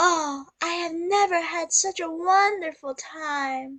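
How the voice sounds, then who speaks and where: At a fairly slow tempo, a woman in a put-on character voice talks at an extremely high pitch. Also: ordinary pitch variation. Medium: read story.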